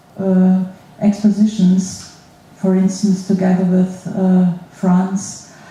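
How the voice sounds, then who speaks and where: A woman's very slow, monotone, flat delivery over noticeable background noise. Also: medium pitch for a woman. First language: German. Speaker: school museum director. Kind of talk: panel talk at a symposium. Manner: halting.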